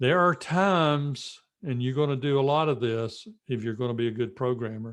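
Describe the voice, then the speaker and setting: The man's voice has a medium pitch with ordinary pitch variation. He talks at a moderate pace. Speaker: college instructor. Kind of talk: lecture. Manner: mumbling at times; casual, conversational.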